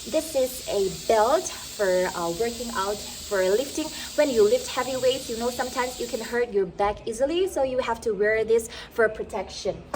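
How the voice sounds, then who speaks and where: Speaking at a moderate pace with a northeastern Indian accent, a woman uses a high pitch and lively intonation against noticeable background noise. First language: Mizo. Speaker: vlogger. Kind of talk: casual vlog talk. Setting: at home, walking with camera. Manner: slightly slurred.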